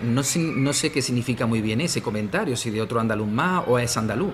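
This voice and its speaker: A male voice moves along at a medium tempo while music sounds behind him. The pitch leaps up and down over a very broad range. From Andalusia, Spain. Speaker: language teacher and philologist. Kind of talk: interview. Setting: school radio studio. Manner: frequent fillers (¿vale?, eh).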